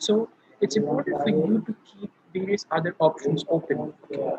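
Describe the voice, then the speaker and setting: A man speaks with an Indian accent at a moderate pace. The sound is dry and close, with no echo. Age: young. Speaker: student speaker. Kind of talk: online panel talk.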